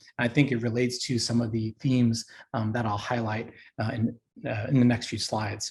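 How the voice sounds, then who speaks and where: Here a man speaks with an American accent. He sounds somewhat breathy and keeps a fairly quick pace. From New York, Long Island. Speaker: university career education leader. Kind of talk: presentation. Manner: fast.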